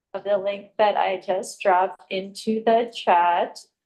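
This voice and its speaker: A woman's voice at a medium pitch. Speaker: committee member. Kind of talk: committee meeting discussion. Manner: slow.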